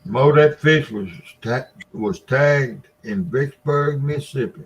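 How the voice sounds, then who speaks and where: Somewhat breathy, a man speaks at a fairly slow pace and fairly high pitch with ordinary pitch variation. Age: 70s. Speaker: catfishing livestream host. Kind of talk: casual chat.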